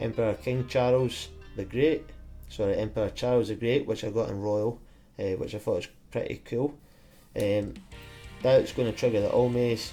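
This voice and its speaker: Over music in the background, a man at medium pitch talks at a moderate pace with fairly even intonation and long, frequent pauses. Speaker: card game player. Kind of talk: game commentary. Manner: monotone.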